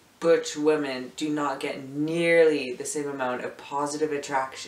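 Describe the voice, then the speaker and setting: Audible room echo surrounds a man speaking in a monotone, flat intonation. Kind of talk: casual talk to camera. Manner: hesitant, casual. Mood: reflective, lightly joking. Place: home room. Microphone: camera far.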